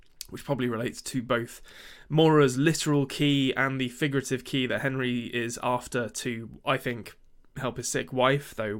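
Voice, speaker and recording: Fairly even intonation marks this man's speech. He talks at a medium pitch and a moderate pace. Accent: English. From England. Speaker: podcast co-host. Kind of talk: casual chat. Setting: remote recording.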